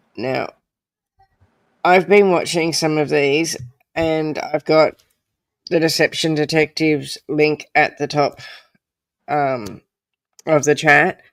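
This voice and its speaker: With an Australian accent, the speaker talks at a very slow pace, leaving long, frequent pauses. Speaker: true crime livestream host. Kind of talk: casual livestream chat.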